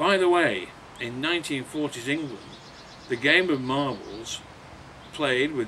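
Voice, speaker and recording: There is noticeable background noise behind the voice. A man speaks at a fairly slow pace. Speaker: author. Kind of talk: introduction to a reading, talk to listeners.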